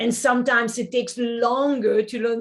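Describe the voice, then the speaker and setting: A woman talks with a French accent. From French-speaking. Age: 50s. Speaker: acupuncturist and Chinese medicine teacher. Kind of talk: podcast interview.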